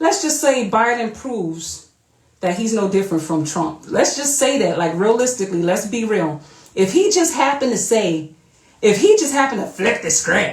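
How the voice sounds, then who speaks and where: With an animated tone and very wide pitch swings, a woman speaks at a moderate pace in a fairly high, somewhat breathy voice. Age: 40s. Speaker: vlogger. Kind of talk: casual monologue.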